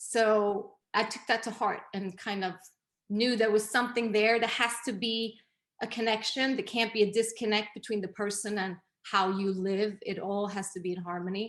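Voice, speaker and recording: With a Swedish accent, a woman talks at a fairly high pitch in a monotone, flat intonation. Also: moderate pace. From Sweden. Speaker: image consultant and interior designer. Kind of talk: interview.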